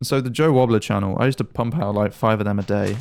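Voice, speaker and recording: A man is talking here. His voice sits fairly low. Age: young. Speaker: YouTuber, gaming commentator. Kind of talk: casual gameplay commentary. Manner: fast; halting.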